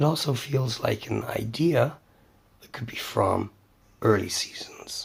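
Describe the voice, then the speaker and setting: A man whispers, soft-spoken. His pace is fairly slow. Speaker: cartoon news and review channel host. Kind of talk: casual talk to camera, news review.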